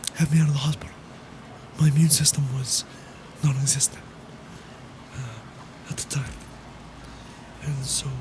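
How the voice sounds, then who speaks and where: The speech has long, frequent pauses over noticeable background noise. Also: moderate pace. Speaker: live streamer. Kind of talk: casual livestream talk. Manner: gentle.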